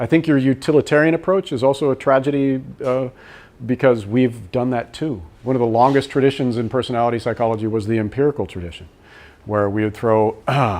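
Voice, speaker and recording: Fairly quick speech from a man at a medium pitch, with ordinary pitch variation. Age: 60s. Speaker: personality psychology professor. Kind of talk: lecture with Q&A.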